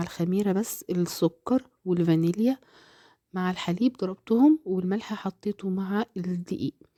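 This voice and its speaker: Recorded very cleanly against a silent background, a woman with an Egyptian accent speaks at medium pitch in a dark, mellow tone, with a dry, close sound and no echo. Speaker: cooking channel host. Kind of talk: cooking tutorial.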